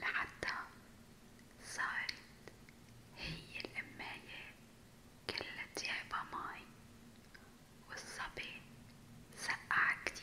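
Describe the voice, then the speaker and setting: A woman whispers at a very slow pace, with long, frequent pauses between words. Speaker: ASMR storyteller. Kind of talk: whispered ASMR storytelling. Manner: whispered, soft, slow. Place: home room. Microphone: studio mic.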